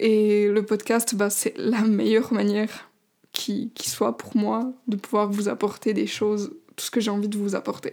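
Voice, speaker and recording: On a very clean recording with a silent background, a woman with a fairly high, dark and mellow voice speaks at a fairly slow pace with fairly even intonation. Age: 20s. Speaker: life coach and podcaster. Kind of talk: casual solo podcast monologue. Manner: hesitant, many fillers.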